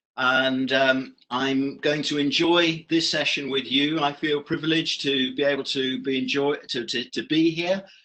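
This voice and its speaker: A man speaks with a British accent at a fairly slow pace. His intonation is fairly even, and he hardly pauses. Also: fairly high pitch for a man. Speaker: professor and business director. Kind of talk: online lecture. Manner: hesitant, many fillers.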